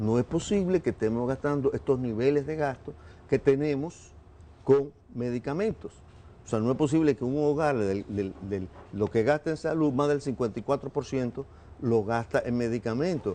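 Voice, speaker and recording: This man's tone is dark and mellow, at a medium pitch. He keeps a moderate pace with ordinary pitch variation. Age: 70s. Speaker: government official. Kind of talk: TV interview.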